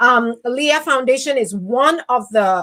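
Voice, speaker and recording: A woman's high-pitched voice with a Nigerian accent, bright, sharp tone, ordinary pitch variation and a fairly slow pace. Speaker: podcast host. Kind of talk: interview.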